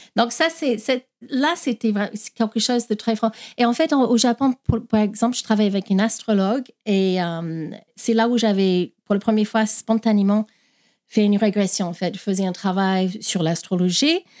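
In an English accent, a woman with a fairly high pitch speaks at very even loudness on a very clean recording, the background silent and the sound dry and close with no echo. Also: ordinary pitch variation, moderate pace. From Australia. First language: English (speaking French). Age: 50s. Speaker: past-life regression therapist. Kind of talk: interview.

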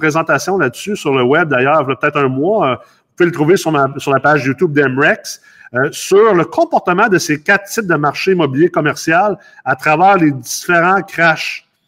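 Fairly high male voice, ordinary pitch variation, moderate pace. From Los Angeles, US, then Quebec from adolescence. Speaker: real estate investor and company CEO. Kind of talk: casual interview. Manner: halting, many repetitions and fillers.

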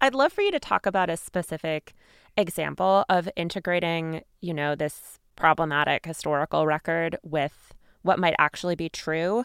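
A woman with a normal speaking voice talks at a moderate pace, her pitch fairly low with ordinary variation. The sound is dry and close with no echo, a very clean recording over a silent background. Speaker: podcast host. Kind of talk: interview with scripted intro.

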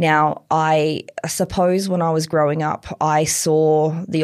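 In an Australian accent, a woman speaks with a very deep, low pitch and fairly even intonation. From tropical far north Queensland, Australia. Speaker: chief operating officer of a climate technology company. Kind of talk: interview.

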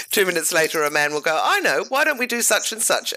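With an Australian accent, the speaker talks at a fairly quick pace. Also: woman. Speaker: podcast host. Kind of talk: interview. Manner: enthusiastic.

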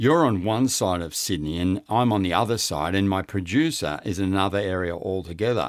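Someone with an Australian accent speaks at a fairly quick pace on a very clean recording with a silent background. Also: man. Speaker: podcast host. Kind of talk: interview.

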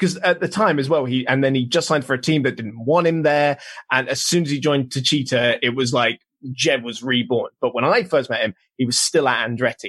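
Against a quiet background, a man with a British accent talks at a fairly quick pace with ordinary pitch variation. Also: fairly high pitch for a man. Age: 20s. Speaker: motorsport journalist. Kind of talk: casual chat. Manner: hesitant, many ums.

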